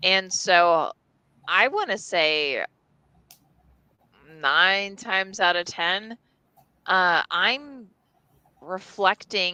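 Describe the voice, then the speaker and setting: A woman's bright, sharp voice at medium pitch, with an American accent, at a very slow pace, in a dry, close sound with no echo and a quiet background. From New Jersey. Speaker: storyteller, entertainment industry worker. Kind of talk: casual chat.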